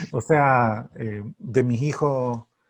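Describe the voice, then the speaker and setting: A man with a Chilean accent talks at a medium pitch with ordinary pitch variation. The background is quiet. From Santiago, Chile. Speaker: writer. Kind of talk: interview answer.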